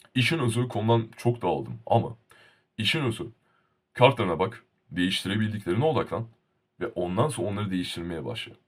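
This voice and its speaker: Somewhat breathy, a man with a medium pitch talks at a fairly quick pace with lively intonation and long, frequent pauses. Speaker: YouTuber. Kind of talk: casual vlog monologue. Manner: animated.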